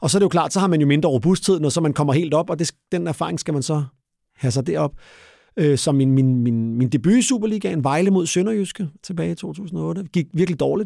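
Fairly quick speech from a man with a fairly high pitch, a dark, mellow tone and lively intonation. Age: 40s. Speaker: retired football referee. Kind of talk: interview. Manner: halting.

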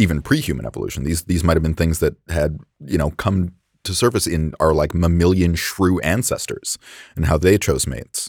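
A man talks with a very deep, low voice and some vocal fry. His pace is moderate, his pitch variation ordinary, and the recording very clean with a silent background. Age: 30s. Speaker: chef and food scientist. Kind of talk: casual chat.

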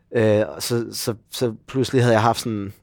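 Against a silent background in a very clean recording, a man uses an unremarkable speaking voice of medium pitch with fairly even intonation. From Denmark, Copenhagen area (Gladsaxe). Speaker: actor. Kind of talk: casual chat. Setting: pub, morning.

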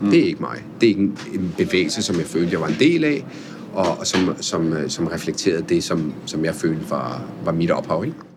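Here a man speaks at a moderate pace. Noticeable noise runs in the background. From Italy-born, Norwegian mother, raised in Denmark. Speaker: chef and restaurateur. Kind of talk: interview conversation. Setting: on location at his restaurant. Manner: hesitant, many fillers and repeats.

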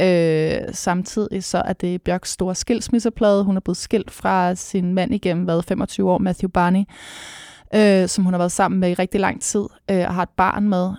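A woman with a dark, mellow tone and a medium pitch speaks fairly slowly with fairly even intonation. The recording is very clean and silent behind her, with a dry, close sound and no echo. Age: 30s. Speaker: music critic. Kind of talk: casual chat.

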